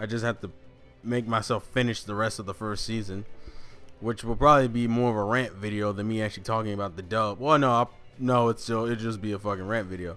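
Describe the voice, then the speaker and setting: Speaking at a very fast pace, a man with an American accent has a fairly low pitch. His tone is bright and sharp, his intonation fairly even. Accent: southern accent, comes out when trying. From US South. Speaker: anime YouTuber. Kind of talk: casual chat. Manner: casual, stumbling with repeated words.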